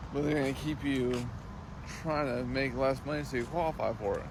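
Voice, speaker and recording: Audible room echo colors a man's speech at a moderate pace. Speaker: army veteran and vlogger. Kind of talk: casual vlog monologue.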